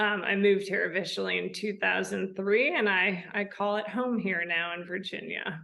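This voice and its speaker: A woman with a Midwestern American accent and a medium pitch, at a moderate pace with hardly any pauses and fairly even intonation, in audible room echo. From US Midwest, outside Chicago, Illinois. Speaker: equestrian eventing rider and riding instructor. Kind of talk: casual interview chat.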